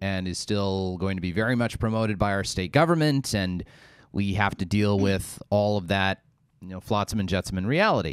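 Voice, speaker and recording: In a very clean recording with a silent background, a man with a normal speaking voice and fairly low pitch talks at a moderate pace. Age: 30s. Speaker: radio host. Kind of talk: radio talk show.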